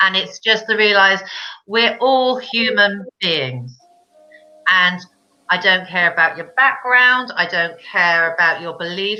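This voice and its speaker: This woman speaks with a British accent. Her intonation is lively. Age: 50s. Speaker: children's book author. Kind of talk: casual chat. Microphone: connection froze.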